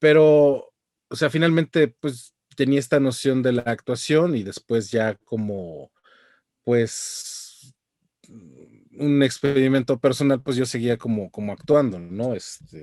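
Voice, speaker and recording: A man speaks very slowly in a medium pitch with a dark, mellow tone. The sound is dry and close with no echo, and his pitch varies in an ordinary way. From Mexico. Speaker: voice actor. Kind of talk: interview answer.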